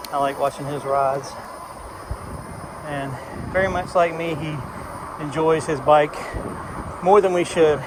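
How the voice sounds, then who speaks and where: Amid noticeable background noise, a man with an American accent speaks at a moderate pace. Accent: strong accent, implied Southern US. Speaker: vlogger. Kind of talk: casual rambling vlog. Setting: outdoors, riding an ebike.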